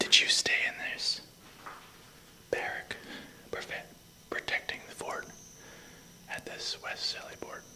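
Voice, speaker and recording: Someone whispers at a fairly slow pace with long, frequent pauses over noticeable background noise. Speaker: paranormal investigator. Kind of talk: whispered paranormal investigation ASMR. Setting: outdoors. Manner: whispered.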